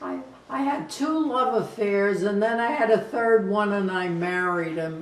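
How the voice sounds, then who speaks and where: Speaking at a fairly slow pace, a woman's voice carries audible room echo. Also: medium pitch for a woman, lively intonation. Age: 80s+. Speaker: grandmother interviewed for a TV show. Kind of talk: interview. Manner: halting.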